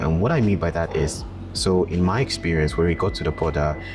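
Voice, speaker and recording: A man talks with a very deep, low pitch. Behind his voice, music is playing. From Ghana. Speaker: travel vlogger. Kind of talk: vlog monologue. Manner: casual, with fillers.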